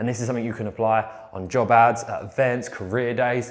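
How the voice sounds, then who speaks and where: A man at a fairly quick pace. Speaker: business workshop presenter. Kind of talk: workshop presentation. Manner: fast.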